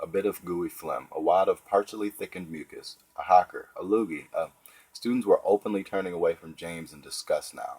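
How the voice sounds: Here we hear a natural reading voice.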